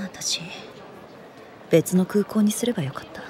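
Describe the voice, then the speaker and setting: Over light background noise, a woman uses a raspy, put-on character voice at a medium pitch and moderate pace. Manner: curt, sulky, rough-spoken.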